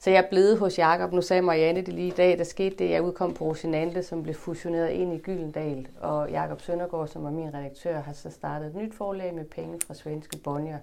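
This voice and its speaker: This woman has a normal speaking voice, fairly low in pitch, at a moderate pace with hardly any pauses. Her intonation is fairly even, though her loudness swings widely. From northern Jutland, Denmark (Limfjord area). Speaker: author and translator. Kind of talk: interview conversation at a library event.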